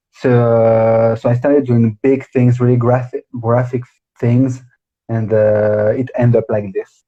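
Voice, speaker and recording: Speaking at a fairly slow pace in a French accent, a man uses a medium pitch, a somewhat breathy voice and monotone, flat intonation. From France, the Alps. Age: 20s. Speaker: drag artist. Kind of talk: interview. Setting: live stream video call. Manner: halting.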